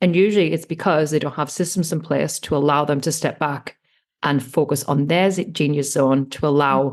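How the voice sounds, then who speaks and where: A woman with an English accent and a very deep, low pitch speaks at a moderate pace with ordinary pitch variation against a quiet background. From England. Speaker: online business manager. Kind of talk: podcast interview.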